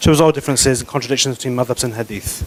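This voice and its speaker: Speaking with a non-native accent, this voice keeps a fairly even intonation. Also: man. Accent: noticeable foreign. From not Malaysian. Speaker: guest lecturer on Islamic law. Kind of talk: lecture. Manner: fast.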